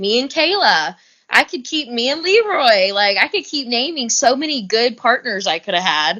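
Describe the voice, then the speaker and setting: A woman speaks in a Southern US accent at a moderate pace. Her pitch is high. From US South. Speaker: reality TV competitor. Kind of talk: podcast interview. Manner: animated.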